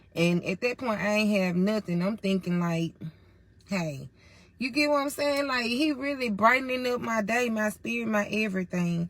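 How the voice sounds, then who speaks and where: Over noticeable background noise, a woman with a fairly high pitch speaks at a moderate pace in an animated tone with lively intonation. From Mississippi, US South. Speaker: storyteller. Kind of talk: casual storytime monologue. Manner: animated, conversational.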